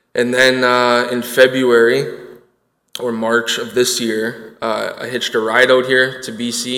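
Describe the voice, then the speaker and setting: A man with a Canadian accent speaks at a fairly slow pace and medium pitch, in monotone, flat intonation, with audible room echo. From Winnipeg, Manitoba, Canada. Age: 20s. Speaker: recovery program student. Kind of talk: personal testimony. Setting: church stage with audience.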